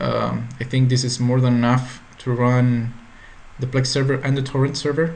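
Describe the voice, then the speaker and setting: Speech at a moderate pace with a Spanish accent and monotone, flat intonation. Noticeable background noise and audible room echo fill the recording. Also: man, medium pitch for a man. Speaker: tech tutorial creator. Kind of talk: tutorial. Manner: halting.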